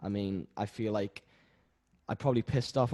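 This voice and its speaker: Dry and close with no echo, a man's fairly low voice has a dark, mellow tone and ordinary pitch variation. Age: 20s; young. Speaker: musician. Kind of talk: casual chat. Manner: halting.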